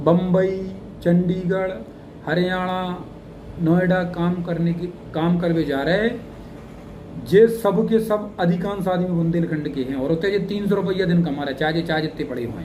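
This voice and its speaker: Audible room echo surrounds a man's high-pitched voice, dark and mellow in tone, with ordinary pitch variation and long, frequent pauses. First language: Bundeli (speaking Hindi). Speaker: English teacher, YouTuber. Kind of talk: motivational talk to camera. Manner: casual, conversational dialect.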